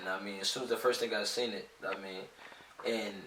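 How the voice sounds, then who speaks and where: The man talks at a fairly quick pace. Room echo is audible. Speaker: podcast co-host. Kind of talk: casual chat. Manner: fast; halting.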